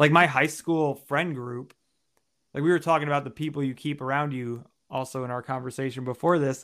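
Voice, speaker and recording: A man with a fairly high pitch and an American accent, an unremarkable speaking voice, fairly even intonation and a fairly quick pace, in a very clean recording with a silent background. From New York, Long Island. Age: 30s. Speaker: personal development coach. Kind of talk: interview testimony.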